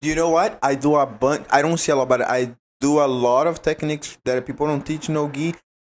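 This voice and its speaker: Here a man speaks with a Brazilian accent at a fairly quick pace, his pitch fairly high. The recording is very clean, with a silent background. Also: fairly even intonation. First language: Portuguese. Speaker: jiu-jitsu athlete. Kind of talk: casual chat.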